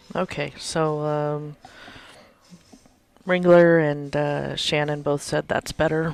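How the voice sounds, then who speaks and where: The delivery is very slow and monotone, with flat intonation. Long pauses come often. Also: woman, very deep, low pitch for a woman. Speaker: pool stream co-host. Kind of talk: live commentary. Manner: loud.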